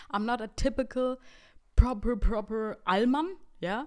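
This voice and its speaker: Animated and in a German accent, a woman talks at a moderate pace. Her pitch swings very widely. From Bavaria, Germany. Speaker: podcast host and comedy content creator. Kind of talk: casual solo podcast monologue.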